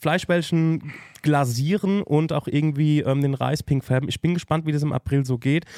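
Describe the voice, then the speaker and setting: Speaking at a moderate pace, a man uses fairly even intonation at a fairly high pitch, his tone dark and mellow and the sound dry and close with no echo. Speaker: podcast host. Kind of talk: casual chat.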